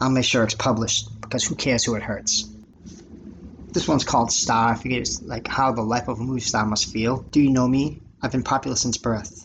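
Speaking fairly quickly in an American accent, a man has a plain, everyday voice of medium pitch with ordinary variation. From Massachusetts, Lynn (North Shore of Boston). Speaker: podcast host and amateur writer. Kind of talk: reading aloud own poems and stories.

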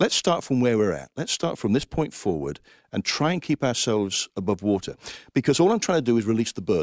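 A man with an English accent speaks in a passionate tone at a fairly quick pace with very wide pitch swings, the sound dry and close with no echo. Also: medium pitch for a man. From England, Coventry. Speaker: Salvation Army officer, finance administrator. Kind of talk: interview.

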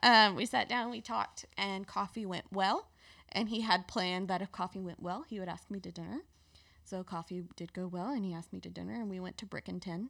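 A woman at medium pitch with a Mississippi accent, ordinary pitch variation and a fairly quick pace, on a very clean recording with a silent background. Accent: Southern US (Mississippi). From US South, South Mississippi (Petal, near Hattiesburg). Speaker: seminary student, former church intern. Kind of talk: casual interview. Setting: studio.

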